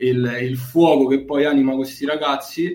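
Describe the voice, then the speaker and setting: The man's fairly high voice stays in a monotone, flat intonation. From Bracciano, near Rome, Italy. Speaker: basketball team manager. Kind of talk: interview.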